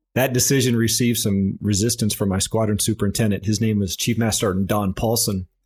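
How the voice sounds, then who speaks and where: A man with an American accent uses a normal speaking voice at a fairly low pitch, fairly quick pace and fairly even intonation. It is a very clean recording with a silent background. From US Midwest, rural south central Nebraska. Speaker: senior military enlisted leader. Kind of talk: interview.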